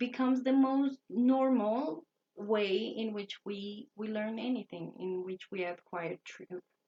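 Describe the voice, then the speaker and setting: Somewhat breathy and with a Spanish accent, a woman talks at a very slow pace with lively intonation. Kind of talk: talk to camera lecture. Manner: halting, self-correcting.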